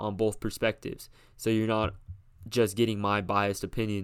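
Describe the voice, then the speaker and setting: This man speaks with a fairly low pitch. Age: young. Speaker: podcast host. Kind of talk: solo commentary podcast. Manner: hesitant, filler-heavy.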